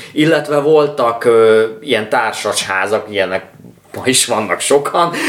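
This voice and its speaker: A man speaking fairly slowly, noticeable background noise behind him. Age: 30s. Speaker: music podcast co-host. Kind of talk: casual chat.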